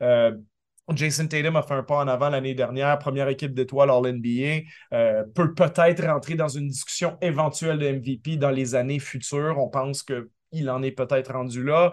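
A man with a plain, everyday voice talks at a fairly high pitch with fairly even intonation. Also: moderate pace. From Quebec. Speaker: basketball analyst. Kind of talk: radio sports analysis.

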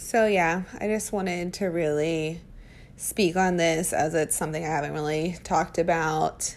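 A woman's unremarkable speaking voice with fairly even intonation. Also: fairly low pitch for a woman, moderate pace. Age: 30s. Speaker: parenting podcaster. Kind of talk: casual monologue.

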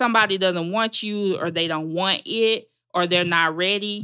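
A woman with a Southern US accent speaks at a medium pitch and a fairly slow pace, with ordinary pitch variation. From Arkansas, Magnolia. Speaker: relationship coach and nonprofit founder. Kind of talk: casual interview chat.

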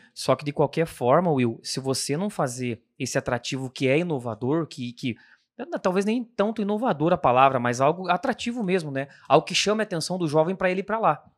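A man with a plain, everyday voice talks at a fairly quick pace, fairly high in pitch with lively intonation. The recording is very clean with a silent background, the sound dry and close with no echo. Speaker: occupational safety technician. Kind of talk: casual chat.

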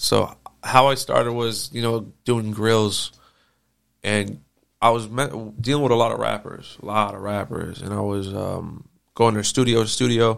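With an unremarkable speaking voice, a man talks at a fairly slow pace, medium pitch and fairly even intonation. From US West Coast (moved from Nazareth at age 4-5). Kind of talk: casual interview.

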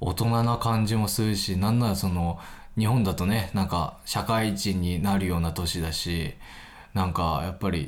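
Very deep, low male voice at a moderate pace, with ordinary pitch variation and audible room echo. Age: 20s. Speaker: podcast host. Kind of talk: casual solo chat. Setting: recording late at night. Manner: casual, filler-heavy.

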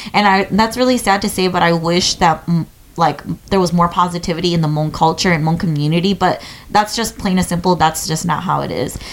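A woman talks at a fairly quick pace against noticeable background noise. Her pitch is fairly low, with ordinary variation. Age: 20s. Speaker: podcast co-host. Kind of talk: casual chat.

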